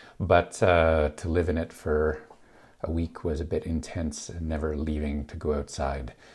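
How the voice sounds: Speaking at a fairly slow pace, a man with an extremely low, gravelly voice, a slightly mellow tone and a slightly husky edge keeps his pitch movement small.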